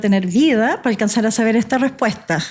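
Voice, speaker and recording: A woman's unremarkable speaking voice, fairly high in pitch, with ordinary pitch variation and a moderate pace. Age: 60s. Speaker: physician. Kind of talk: podcast interview. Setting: coffee shop.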